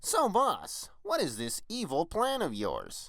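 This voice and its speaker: A cartoonish character voice talks at a fairly slow pace. The recording is very clean, with a silent background. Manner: deferential, eager.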